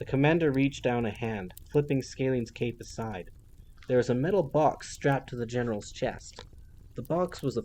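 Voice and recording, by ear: The pitch shifts in ordinary ways as someone reads aloud in a natural voice.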